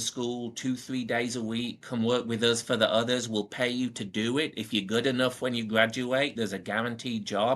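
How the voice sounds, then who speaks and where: A man with a Northern English accent talks at medium pitch and a moderate pace, in a monotone, flat intonation with hardly any pauses. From Northern England. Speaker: powersports service manager. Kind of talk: podcast interview answer.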